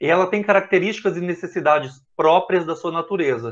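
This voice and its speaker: A man talks with a slight Minas Gerais accent at a high pitch, with ordinary pitch variation. The pace is moderate and the background is quiet. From Brazil, Minas Gerais. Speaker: professor. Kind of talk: lecture. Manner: halting.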